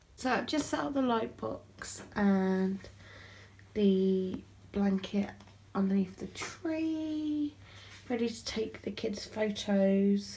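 A woman's somewhat breathy voice at a very slow pace, with long, frequent pauses. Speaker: parent vlogger. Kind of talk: casual vlog chat. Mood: relaxed, tender. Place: home room. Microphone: phone near.

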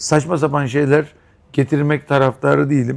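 A man talks at a moderate pace, fairly high in pitch. His is an unremarkable speaking voice. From Istanbul, Turkey. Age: 50s. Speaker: restaurant owner. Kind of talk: interview.

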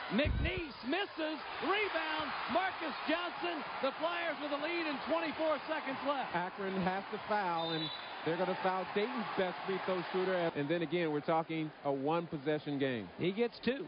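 A man's high, animated voice at a moderate pace with very wide pitch swings and noticeable background noise. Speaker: sports commentator. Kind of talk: live sports commentary. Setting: basketball arena broadcast. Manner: animated, rising on big plays.

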